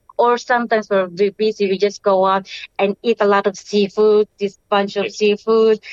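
A woman with a Filipino accent speaks at a fairly quick pace. The sound is dry and close, with no echo. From Philippines, Bicol. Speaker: interviewee, mother. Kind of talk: interview.

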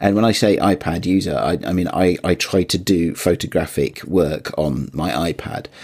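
Hardly pausing, a man speaks at a moderate pace with a very deep, low pitch, vocal fry, and ordinary pitch variation. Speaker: podcast co-host. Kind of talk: casual chat.

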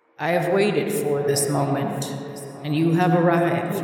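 A put-on character voice, booming and resonant at a middle pitch, moves at a moderate pace through a strong echo. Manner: grand, ominous.

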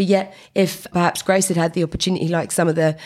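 Fairly low in pitch, a woman talks with a British accent at a fairly quick pace. Her intonation is monotone and flat. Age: 40s. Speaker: co-founder of a women in data organisation. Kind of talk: podcast interview. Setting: at a conference.

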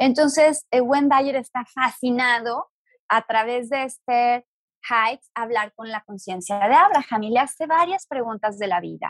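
A woman's high voice at a fairly slow pace, with ordinary pitch variation and a dry, close sound free of echo. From Mexico, Guadalajara. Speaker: astrologer and spiritual teacher. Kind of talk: interview conversation.

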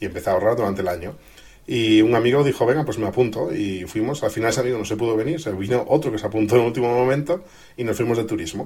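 Speech races along at a very fast pace. The voice is somewhat breathy. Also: man. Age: 30s. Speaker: tech blogger and youtuber. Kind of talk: interview.

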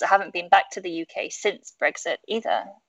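A woman with a British accent speaks at a fairly high pitch. The sound is dry and close, with no echo. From UK. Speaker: tourism industry professional. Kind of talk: casual chat.

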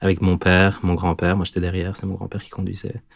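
Very deep and low, a man's voice holds a monotone, flat intonation. The recording is very clean, with a silent background. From southern Belgium, near the Ardennes. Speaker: storyteller guest. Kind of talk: personal storytelling. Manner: hesitant, many fillers.

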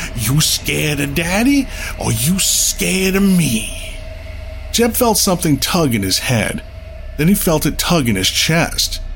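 Noticeable background noise sits under this recording. A man speaks at a fairly slow pace, keeping his loudness very even. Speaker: narrator and original host. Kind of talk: ghost story narration.

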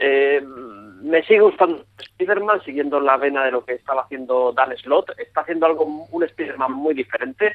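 A man's fairly high, plain, everyday voice at a moderate pace, with ordinary pitch variation. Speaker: comics podcast co-host. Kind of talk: casual chat.

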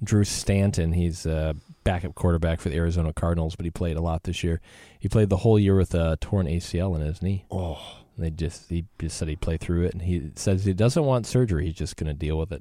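On a very clean recording with a silent background, a man with a very deep, low pitch and a dark, mellow tone speaks at a fairly quick pace. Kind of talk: radio DJ patter: brisk station-ID plugs, web and email sign-offs, upbeat show promos.

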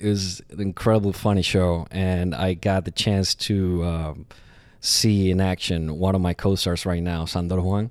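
In a Puerto Rican accent, a man speaks with a very deep, low pitch and fairly even intonation. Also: moderate pace, very clean recording, silent background. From Puerto Rico. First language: Spanish. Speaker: stage actor. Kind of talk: interview. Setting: on a theater stage. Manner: halting.

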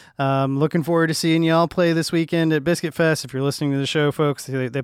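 On a very clean recording with a silent background, a man speaks at a very fast pace in an animated, upbeat tone. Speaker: radio host. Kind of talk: radio DJ patter: polished, upbeat show intro and outro, warm and chatty. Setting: studio. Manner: animated, upbeat, friendly, quick-talking.

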